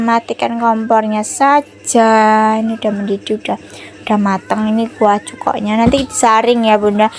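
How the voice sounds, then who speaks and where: In a strong Javanese accent, a woman talks at a fairly high pitch. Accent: strong Javanese accent in Indonesian. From Java, Indonesia. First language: Javanese (speaking Indonesian). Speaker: home cooking vlogger. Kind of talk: casual cooking vlog chat.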